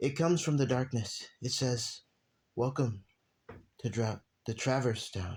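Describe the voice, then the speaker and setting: Pausing long and often, a man speaks at a fairly slow pace in a somewhat breathy, medium-pitched voice with ordinary pitch variation, on a very clean recording with a silent background. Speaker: amateur storyteller. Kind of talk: reading aloud. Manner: halting.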